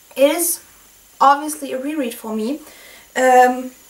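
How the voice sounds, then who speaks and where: A woman talks with fairly even intonation. Noticeable background noise runs under her voice. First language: not English. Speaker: book reviewer. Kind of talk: book review monologue. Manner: halting, many fillers.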